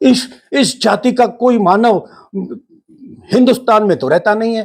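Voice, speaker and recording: Pitched high, a man speaks with ordinary pitch variation. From Rajasthan, India. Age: 70s. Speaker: spiritual teacher. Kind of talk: monologue talk.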